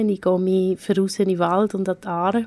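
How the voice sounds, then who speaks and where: In a very clean recording with a silent background, a woman speaks at a medium pitch. Her intonation is monotone and flat. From Switzerland, Aargau. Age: 30s. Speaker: art historian, head of a cultural venue. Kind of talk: radio interview.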